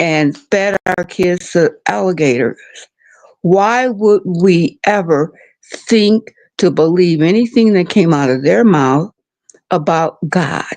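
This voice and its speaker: A woman's very slow, fairly low-pitched voice with lively intonation and very even loudness, dry and close with no echo. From Detroit, US Midwest. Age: 70s. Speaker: caller. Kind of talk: call-in commentary.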